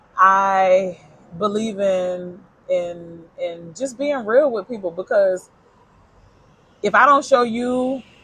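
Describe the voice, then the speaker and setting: A woman's medium-pitched voice, varying in pitch in an ordinary way, comes through noticeable background noise. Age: 40s. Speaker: podcast co-host. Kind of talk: casual chat. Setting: outdoor pizza restaurant.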